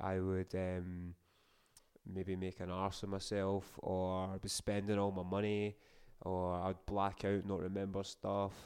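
Against a quiet background, a man with a Scottish accent speaks very slowly in a very deep, low voice with monotone, flat intonation. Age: 30s. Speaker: podcast host. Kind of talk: casual monologue.

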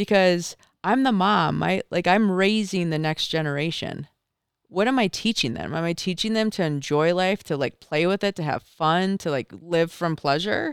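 A woman with an American accent has a plain, everyday voice, fairly low in pitch with ordinary pitch variation, speaking at a moderate pace in a very clean recording with a silent background and a dry, close sound with no echo. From Michigan. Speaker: mountaineer. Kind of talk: casual chat. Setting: studio.

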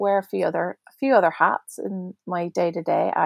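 A woman with a Northern Irish accent speaks with fairly even intonation. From Belfast, Northern Ireland. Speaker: podcast guest, prayer ministry director.

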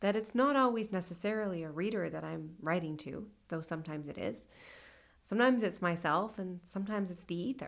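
On a very clean recording with a silent background, a woman with a Californian accent speaks at a fairly quick pace and medium pitch, with ordinary pitch variation and big swings in loudness. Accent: Californian American. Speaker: poet. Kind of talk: interview.

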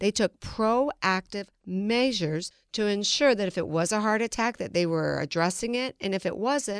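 A woman's unremarkable speaking voice at medium pitch, ordinary pitch variation and a moderate pace, dry and close with no echo, on a very clean recording with a silent background. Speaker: financial advisor. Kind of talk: radio interview.

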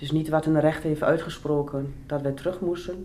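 Amid noticeable background noise and audible room echo, a woman talks fairly quickly in a very deep, low voice with fairly even intonation. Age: 30s. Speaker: person on probation. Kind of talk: life story interview.

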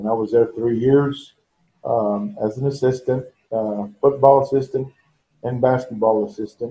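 A man's somewhat breathy, dark and mellow voice with an American accent, at medium pitch and a moderate pace, with ordinary pitch variation. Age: 60s. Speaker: veteran high school basketball coach. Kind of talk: casual chat. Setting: video call.

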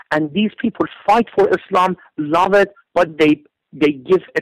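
This man's voice sits high for a man, moving at a moderate pace with ordinary pitch variation in a dry, close sound with no echo. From Iran. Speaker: lawyer. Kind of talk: interview.

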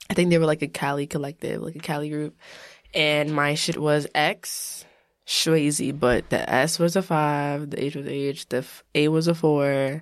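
Speaking with a New York accent, a woman uses a very deep, low pitch and monotone, flat intonation at a moderate pace, on a very clean recording with a silent background. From New York, Long Island (Elmont). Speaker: podcast co-host. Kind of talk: casual chat.

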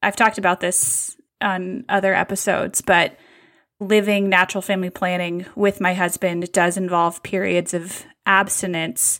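A woman's normal speaking voice at a medium pitch, moderate pace and fairly even intonation, on a very clean recording with a silent background. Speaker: podcast host. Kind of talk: casual chat.

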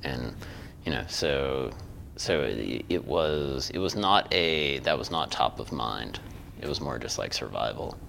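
There is audible room echo as a man speaks in a very deep, low voice. He talks at a fairly slow pace with ordinary pitch variation. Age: 40s. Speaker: podcast host. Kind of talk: casual chat. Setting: studio.

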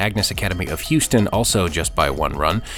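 A man with a very deep, low pitch at a fairly quick pace, music in the background. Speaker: organization announcer. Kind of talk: news reading.

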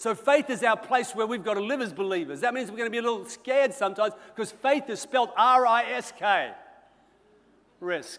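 The voice carries an Australian accent, moving at a fairly quick pace with ordinary pitch variation. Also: man, extremely high pitch for a man. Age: 60s. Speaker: senior pastor. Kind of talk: sermon.

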